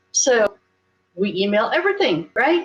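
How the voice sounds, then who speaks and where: A woman's fairly slow voice with very wide pitch swings, against a quiet background. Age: 70s. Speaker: women's rights activist and panelist. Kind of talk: panel discussion. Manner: animated.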